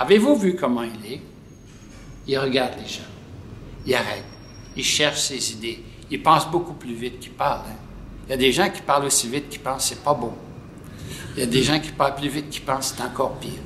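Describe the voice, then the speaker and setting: A man with a Quebec accent talks at a fairly quick pace, with big swings in loudness and long, frequent pauses. Room echo is audible. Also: ordinary pitch variation. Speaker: pediatric nephrologist. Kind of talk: interview. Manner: soft-spoken.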